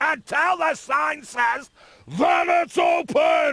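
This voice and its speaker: Shouting in a put-on character voice, the speaker goes at a very slow pace. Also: man, extremely high pitch for a man. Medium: video game. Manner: curt, commanding.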